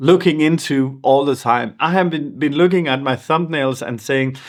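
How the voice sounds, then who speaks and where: Speaking with a non-native accent, the man's voice sits at a fairly high pitch. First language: not English. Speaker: YouTuber. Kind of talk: vlog monologue. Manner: halting.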